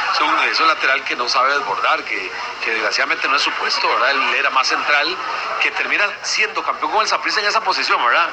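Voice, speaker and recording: Talking at a very fast pace, a man's voice swings very widely in pitch over noticeable background noise. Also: fairly high pitch for a man. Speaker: radio sports commentator. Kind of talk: sports radio analysis.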